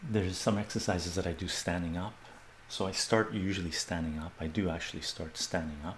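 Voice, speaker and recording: Soft-spoken and calm in tone, a man with a very deep, low pitch talks at a moderate pace with fairly even intonation. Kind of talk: live fitness demonstration to camera. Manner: soft-spoken, calm, instructional.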